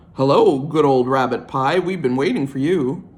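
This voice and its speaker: A man puts on a gruff character voice, pitched fairly high, with fairly even intonation. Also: moderate pace. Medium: read story.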